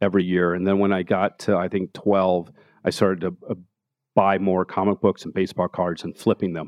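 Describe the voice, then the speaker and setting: Delivered at a fairly quick pace, a plain, everyday voice speaks with an American accent. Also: man. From Denver, Colorado (Park Hill). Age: 50s. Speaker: art gallery owner and author. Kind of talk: interview. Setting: live recording before an audience.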